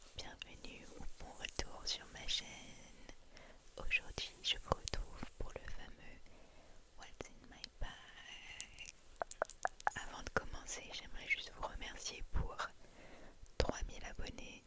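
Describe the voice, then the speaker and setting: A woman whispering at a very slow pace, with long, frequent pauses, big swings in loudness and noticeable background noise. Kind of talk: ASMR what's in my bag. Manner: whispered.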